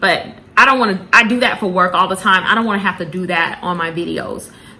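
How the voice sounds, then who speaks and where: Very fast and fairly even in intonation, a woman's medium-pitched voice comes through noticeable background noise. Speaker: planner vlogger. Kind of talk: candid personal vlog. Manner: halting, many fillers and repeats.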